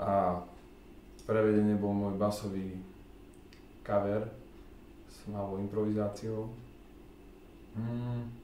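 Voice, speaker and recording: A man speaks very slowly at a fairly low pitch, monotone and flat, with long, frequent pauses. Light background noise and audible room echo are present. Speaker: double bassist and bass guitarist. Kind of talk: casual talk to camera. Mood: calm, reflective. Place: home room. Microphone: camera far.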